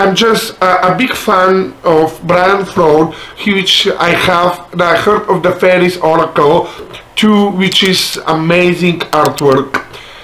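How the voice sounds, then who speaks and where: Very slow speech with a non-native accent over noticeable background noise. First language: not English. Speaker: spiritual content creator. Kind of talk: product review. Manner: halting.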